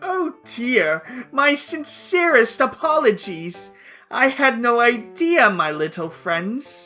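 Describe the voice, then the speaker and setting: A man does a put-on character voice at an extremely high pitch with very wide pitch swings, speaking at a fairly slow pace over faint background music. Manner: theatrical, mock-polite.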